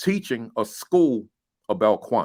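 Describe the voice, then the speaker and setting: A man with an American accent speaks in an animated tone. The recording is very clean, with a silent background. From New Jersey (East Orange area). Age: 60s. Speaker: school principal and education speaker. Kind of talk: casual livestream conversation. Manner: animated, emphatic with many repetitions.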